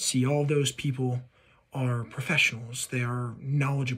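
A man talks at a moderate pace in a somewhat breathy voice. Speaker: music video creator. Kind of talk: casual vlog chat. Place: home room. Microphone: phone near.

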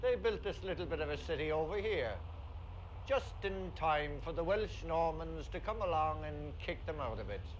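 Over light background noise, a man in a Cork accent speaks at a moderate pace. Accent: Cork Irish. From Cork, Ireland. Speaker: actor. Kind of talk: 1970s documentary narration, wry humorous talk on accents. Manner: dry, wry, humorous; animated, playfully mimics accents. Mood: wry, humorous. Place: waterside.

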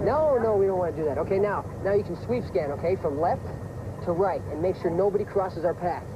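There is noticeable background noise. A man speaks with a high pitch. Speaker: screen actor. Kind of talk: TV drama scene. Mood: playful, confident, flirting. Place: boat.

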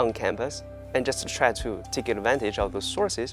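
Clear music plays in the background as a man with a Chinese accent speaks at a moderate pace, the sound dry with no echo. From China. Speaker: university student. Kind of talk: interview answer. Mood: friendly, smiling. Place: classroom. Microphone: lapel.

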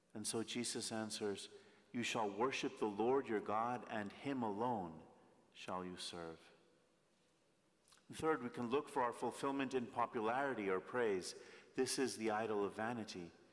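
Speaking at a moderate pace, a man uses ordinary pitch variation and leaves long, frequent pauses. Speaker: priest. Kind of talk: sermon. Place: church. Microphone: podium.

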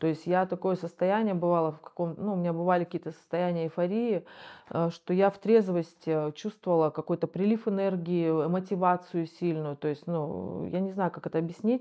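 A woman talks at a fairly quick pace and a fairly low pitch. Her intonation stays fairly even over a quiet background. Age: 40s. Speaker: rehab patient, recovering drug user. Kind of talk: interview testimony. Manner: halting. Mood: reflective, calm. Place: home room. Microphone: lapel.

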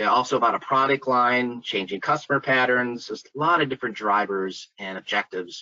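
In an ordinary speaking voice, a man with an American accent talks at a moderate pace, his medium pitch showing ordinary variation. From US Midwest (Minnesota). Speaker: site selection consultant. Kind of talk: webinar presentation. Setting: video call webinar.

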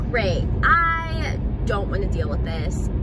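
A woman's voice sounds dry with no echo, over loud background noise. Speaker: vlogger. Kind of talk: casual storytime vlog chat. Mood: animated, amused storytelling. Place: car. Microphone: phone near.

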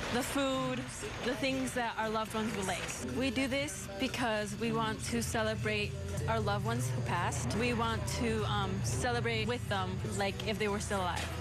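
Clear music plays in the background while a woman talks at a moderate pace. Her voice sounds dry, with no echo. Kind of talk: interview answer. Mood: warm, proud. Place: shop.

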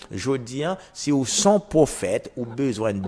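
His pitch rises and falls very widely. The man talks very slowly. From Haiti. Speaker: prophet and radio preacher; radio preacher. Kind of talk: radio sermon / teaching. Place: studio. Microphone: lapel.

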